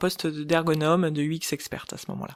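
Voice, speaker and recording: The background is silent in this very clean recording of a woman speaking at a fairly slow pace. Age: 40s. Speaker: ergonomist and UX expert. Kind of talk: interview.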